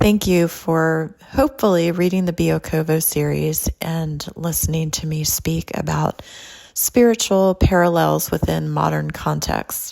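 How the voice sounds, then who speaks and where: With a Californian accent, a woman talks at a fairly slow pace over noticeable background noise. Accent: Californian with a twang. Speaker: podcast host and author. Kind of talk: podcast monologue. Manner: laid-back.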